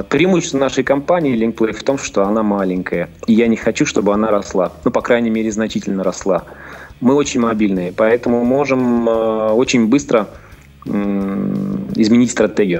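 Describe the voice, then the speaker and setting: This man has an ordinary speaking voice, medium in pitch, with lively intonation and a moderate pace. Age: 40s. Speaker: businessman, game studio founder. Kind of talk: interview.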